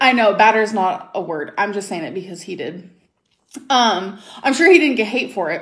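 Over a quiet background, a woman with an American accent speaks at a moderate pace, with big swings in loudness. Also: lively intonation. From US. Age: 20s. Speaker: YouTuber. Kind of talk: casual chat. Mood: defensive, irritated. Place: home room. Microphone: phone near.

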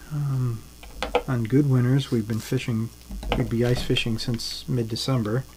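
Relaxed in tone, a man talks at a moderate pace with fairly even intonation. Background noise is noticeable. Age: 50s. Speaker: jig tier and fishing lure maker. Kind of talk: live-stream tutorial. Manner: halting, many fillers; relaxed, conversational. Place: home room.

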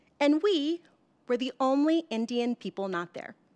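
With an American accent, a woman speaks high-pitched, her pitch swinging very widely. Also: quiet background. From US Mid-Atlantic. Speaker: life coach. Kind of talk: storytelling. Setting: stage with audience. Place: hall. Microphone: podium.

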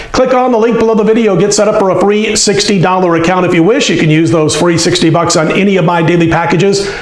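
A high-pitched man talks at a very fast pace with hardly any pauses and ordinary pitch variation. Audible room echo is present. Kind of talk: sports betting commentary. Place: studio. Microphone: lapel.

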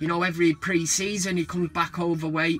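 Light background noise sits under talking that keeps a moderate pace. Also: man. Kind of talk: casual vlog chat. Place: car. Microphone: phone near.

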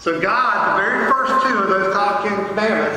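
A man's raised, projected voice in a room with strong echo, with ordinary pitch variation. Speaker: pastor. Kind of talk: sermon. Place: church.

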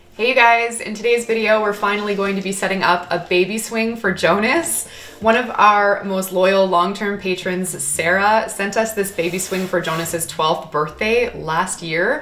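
A woman talks at a moderate pace with hardly any pauses and ordinary pitch variation, over light background noise. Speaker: pet vlogger. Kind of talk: casual vlog chat. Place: home room. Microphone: camera far.

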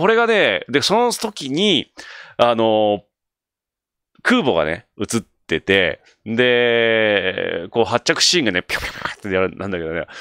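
Against a quiet background, a man talks fairly slowly in an animated tone with long, frequent pauses, the sound dry with no echo. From Japan. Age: 40s. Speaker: solo video creator. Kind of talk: casual solo talk. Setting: late-night solo broadcast. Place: home room. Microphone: studio mic.

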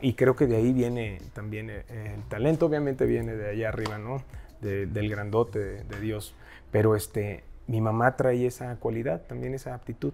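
Over faint music in the background, a man talks at a moderate pace with a fairly low pitch and ordinary pitch variation. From Mexico, Huasteca region; Mexico. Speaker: singer; guest. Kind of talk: casual interview chat. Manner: animated. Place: studio.

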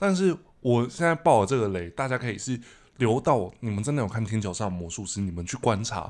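The intonation is lively. This man talks at a fairly quick pace. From Taiwan. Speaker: podcast host. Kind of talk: casual chat. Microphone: studio mic.

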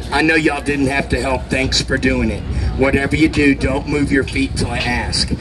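Noticeable background noise sits behind talking at a moderate pace. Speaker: street performer. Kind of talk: street performer crowd-work pitch, coaxing cheers and tips. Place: street. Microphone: camera far.

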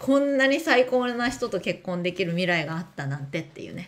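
Her fairly high voice moves in very wide pitch swings as the woman speaks. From Japan. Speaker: education speaker and streamer; speaker, streamer. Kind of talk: livestream chat, reading and answering comments. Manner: casual, chatty. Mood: warm, encouraging, chatty. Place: home room. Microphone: webcam.

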